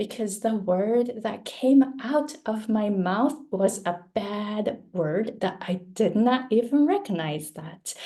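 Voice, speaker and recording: A woman with a Japanese accent talks very slowly, with hardly any pauses, in a fairly high voice with lively intonation. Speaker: pronunciation coach. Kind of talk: presentation. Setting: video call.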